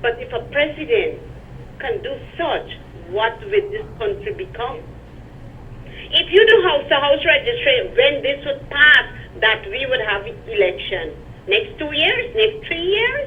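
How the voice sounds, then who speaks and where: With a Guyanese accent, a woman speaks at a fairly slow pace with long, frequent pauses, an extremely high pitch and very wide pitch swings over noticeable background noise. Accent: Guyanese Creole English. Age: 60s. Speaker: caller. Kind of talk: call-in political complaint. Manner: animated.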